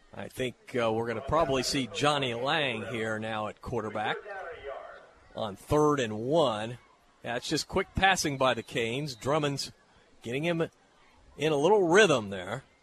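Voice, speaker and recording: Amid noticeable background noise, a man speaks at a moderate pace with lively intonation and long, frequent pauses. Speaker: radio play-by-play announcer. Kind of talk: live radio play-by-play of a high school football game. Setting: stadium press box broadcast. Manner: brisk, flowing yard-by-yard call, rising with excitement on big plays; folksy, conversational between plays.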